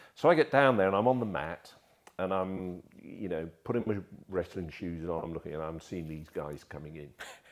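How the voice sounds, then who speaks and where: This man speaks at a fairly quick pace with a very deep, low pitch, ordinary pitch variation, and big swings in loudness. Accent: southern English. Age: 60s. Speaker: martial artist and photographer. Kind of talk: casual interview chat.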